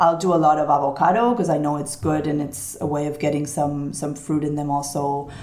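Someone with an American accent talks at a fairly quick pace with hardly any pauses and fairly even intonation. Noticeable background noise and audible room echo fill the recording. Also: woman, very deep, low pitch for a woman. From Barcelona, Spain (American mother). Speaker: food business founder. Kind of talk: interview.

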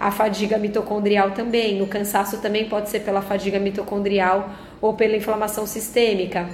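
Through audible room echo and noticeable background noise, a woman speaks with monotone, flat intonation. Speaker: nutritionist podcast host. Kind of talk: health explainer monologue. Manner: conversational with filler words.

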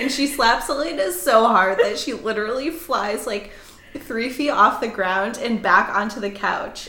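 A raspy put-on character voice at a moderate pace, over light background noise. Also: woman, fairly high pitch for a woman. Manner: excited, riled up.

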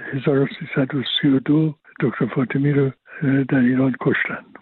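Very slowly and in a flat monotone, a man speaks at a fairly high pitch. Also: long, frequent pauses. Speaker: economist and retired professor. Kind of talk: interview. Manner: halting.

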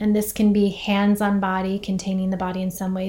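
A woman speaks at a medium pitch and a moderate pace, her intonation monotone and flat. Her tone is dark and mellow, and somewhat breathy. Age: 40s. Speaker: podcast host and meditation teacher. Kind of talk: reflective monologue with guided grounding. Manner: soft-spoken.

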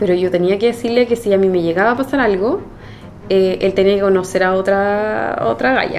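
A woman speaks at a fairly quick pace with a medium pitch and ordinary pitch variation, with noticeable background noise behind her. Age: 30s. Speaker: nurse. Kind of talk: interview testimony. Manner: halting.

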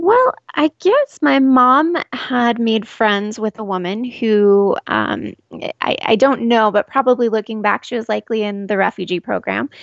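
A woman with a Southwest US accent and a fairly high pitch speaks at a fairly slow pace with ordinary pitch variation, in a dry, close sound with no echo. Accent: General American (Southwest US). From Arizona, Scottsdale area. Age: 30s. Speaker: refugee program worker. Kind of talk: interview. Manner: hesitant, many fillers and repeats.

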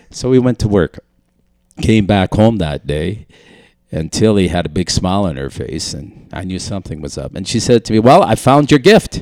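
A fairly low-pitched man's voice with vocal fry, very wide pitch swings and big swings in loudness, in a dry, close sound with no echo. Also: moderate pace. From Manitoba, French community near Winnipeg. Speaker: church musician. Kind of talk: testimony.

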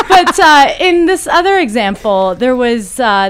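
A woman's pitch swings very widely as she talks at a moderate pace. Noticeable background noise runs underneath. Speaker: podcast host. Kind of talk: casual chat.

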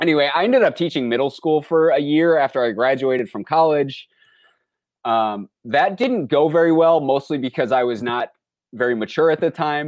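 Against a quiet background, a man with an American accent speaks at a fairly quick pace and a fairly high pitch. He has lively intonation and an ordinary speaking voice. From rural Minnesota, US. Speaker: anthropology professor. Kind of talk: interview.

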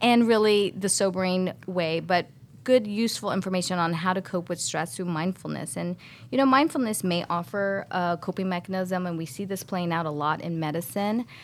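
A plain, everyday voice with ordinary pitch variation at a moderate pace, on a very clean recording with a silent background. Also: woman. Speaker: co-host, pediatric surgeon. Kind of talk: podcast hosting.

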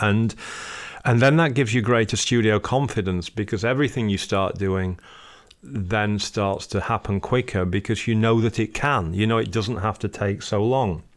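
With a Yorkshire accent, a man talks in a fairly low pitch with ordinary pitch variation and very even loudness. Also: moderate pace. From northern England, Sheffield. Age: 40s. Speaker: musician and record label founder. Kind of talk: interview.

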